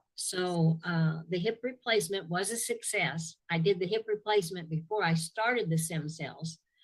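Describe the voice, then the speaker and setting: Somewhat breathy and fairly low in pitch, a woman speaks with ordinary pitch variation and hardly any pauses. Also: moderate pace. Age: 70s. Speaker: testimonial giver, product user. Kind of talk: testimony. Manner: halting.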